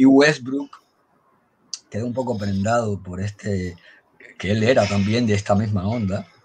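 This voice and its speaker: Over light background noise, a man with a fairly low pitch speaks at a fairly slow pace, with fairly even intonation and long, frequent pauses. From Havana, Cuba; Cuba. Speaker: blogger and amateur historian; guest. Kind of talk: storytelling history talk. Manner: halting. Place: home room. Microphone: video call.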